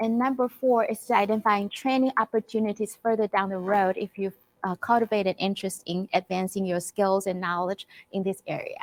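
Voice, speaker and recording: A woman with a Chinese accent talks at a fairly quick pace and a medium pitch, with fairly even intonation. The sound is dry and close, with no echo. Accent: non-native, Chinese-accented English. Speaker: clinical psychologist. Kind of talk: conference presentation. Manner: halting, many fillers.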